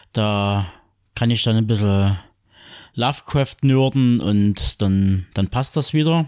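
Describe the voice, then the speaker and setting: Very slowly, a man talks at a medium pitch with ordinary pitch variation and very even loudness, leaving long, frequent pauses. The recording is very clean, with a silent background. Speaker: podcast co-host. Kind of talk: casual chat.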